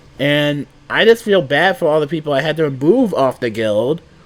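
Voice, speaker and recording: Lively intonation carries speech at a fairly slow pace over noticeable background noise. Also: man. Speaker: gaming youtuber. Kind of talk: casual commentary.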